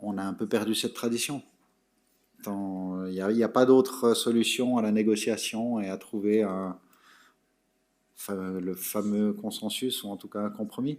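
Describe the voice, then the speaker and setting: A man speaks slowly with long, frequent pauses, his pitch fairly low and intonation fairly even. The recording is very clean with a silent background. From Switzerland, Geneva. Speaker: public official, conference speaker. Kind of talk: audience Q&A. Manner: halting, many repetitions.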